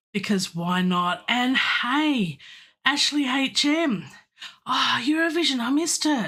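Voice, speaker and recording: A woman's raised, projected voice with an Australian accent, high in pitch and bright and sharp in tone, with very wide pitch swings, a very slow pace and a quiet background. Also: very even loudness. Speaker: composer and classical singer; livestream host. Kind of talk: live stream chat. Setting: home studio. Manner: animated. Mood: friendly, upbeat. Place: home room.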